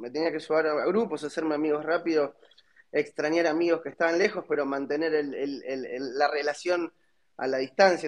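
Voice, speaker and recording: A man talks in a normal speaking voice at a fairly high pitch. His pace is moderate and his pitch variation ordinary. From Argentina. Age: 30s. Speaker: startup founder. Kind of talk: interview.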